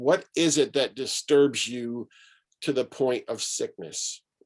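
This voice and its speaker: An American accent marks this man's speech. He talks at a very slow pace and medium pitch. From Syracuse, New York, US. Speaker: pastor and author. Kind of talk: talk to an online gathering.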